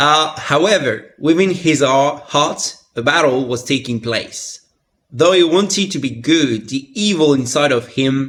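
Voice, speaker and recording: Pitch varies in an ordinary way as the words come at a fairly slow pace. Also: man. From France. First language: French. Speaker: content creator. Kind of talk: reading aloud.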